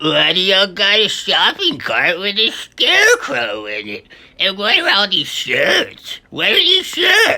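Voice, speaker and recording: This is a put-on character voice. It proceeds at a fairly slow pace. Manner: slurred, hard to understand.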